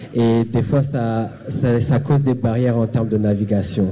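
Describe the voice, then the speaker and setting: Fairly slow, fairly even speech over noticeable background noise. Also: man. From Burundi, raised partly in Zimbabwe. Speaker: panelist, community service worker. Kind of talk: panel discussion. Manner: halting.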